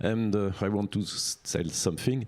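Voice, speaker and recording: A man with a French accent, fairly low in pitch, at a fairly slow pace, on a very clean recording with a silent background. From France. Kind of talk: panel discussion.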